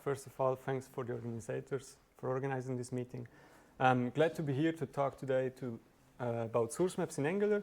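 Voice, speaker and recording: A man with a Swiss German accent talks at a fairly quick pace, his medium pitch showing ordinary variation. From southern Switzerland (Valais, Brig). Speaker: software engineer, meetup speaker. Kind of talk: tech talk presentation. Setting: meetup with live audience. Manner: hesitant, with fillers and restarts.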